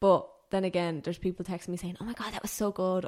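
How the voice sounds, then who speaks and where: Speaking at a very fast pace, a woman with an Irish accent uses a medium pitch. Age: 20s. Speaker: personal trainer and powerlifter. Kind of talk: casual chat.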